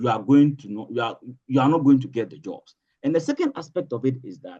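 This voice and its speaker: A man with a Ghanaian accent talks at a very fast pace. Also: medium pitch for a man, ordinary pitch variation, big swings in loudness. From Northern Ghana. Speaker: political analyst and social commentator. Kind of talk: interview answer.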